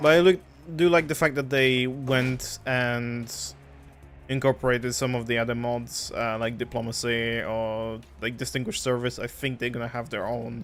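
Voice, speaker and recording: A medium-pitched man's voice with fairly even intonation and a Polish accent. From Poland. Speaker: game streamer. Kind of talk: casual chat.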